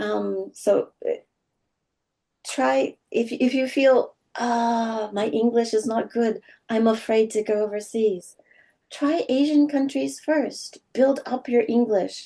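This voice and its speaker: At a very slow pace, a woman with an American accent speaks in a dark, mellow tone, fairly high in pitch with ordinary variation. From California, US. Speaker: English teacher. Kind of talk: interview conversation.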